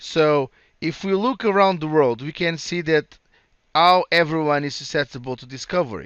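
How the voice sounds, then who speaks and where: A man with a Portuguese accent and lively intonation. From Portugal. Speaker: cloud solutions architect presenting a tech session. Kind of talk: conference presentation. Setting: virtual conference session. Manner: halting with repetitions.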